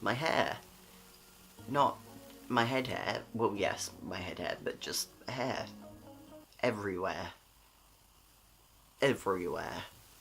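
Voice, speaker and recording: Music plays in the background as a man talks at a very slow pace with ordinary pitch variation. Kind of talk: casual talk to camera. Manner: sleepy, late-night.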